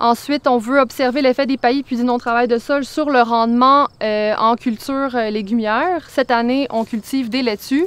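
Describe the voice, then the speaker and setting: A woman talks at a moderate pace with hardly any pauses, in a high pitch and fairly even intonation. The sound is dry with no echo. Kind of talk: interview answer. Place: farm.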